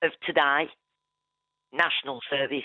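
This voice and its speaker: A woman is talking. Her pace is fairly slow. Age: 60s. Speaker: caller. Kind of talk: phone-in call.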